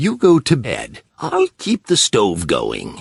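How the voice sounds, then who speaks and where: In a put-on character voice, a man speaks at a very slow pace. The sound is dry and close, with no echo. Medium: read story.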